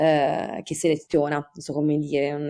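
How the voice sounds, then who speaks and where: Very deep and low in pitch, this woman's voice has a dark, mellow tone. She talks at a fairly quick pace on a very clean recording with a silent background. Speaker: podcast author guest. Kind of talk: casual chat.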